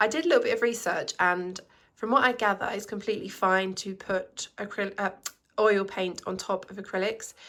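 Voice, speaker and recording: A woman speaks at a moderate pace in an unremarkable speaking voice. Her pitch sits in the medium range. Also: fairly even intonation. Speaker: artist vlogger. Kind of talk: casual vlog narration.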